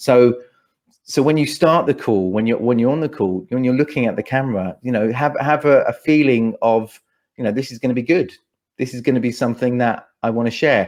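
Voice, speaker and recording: Speaking with a London accent, a man talks at a fairly quick pace in a medium pitch. His pitch varies in an ordinary way, and the background is quiet. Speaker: speaker coach and events MC. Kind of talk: podcast interview answer.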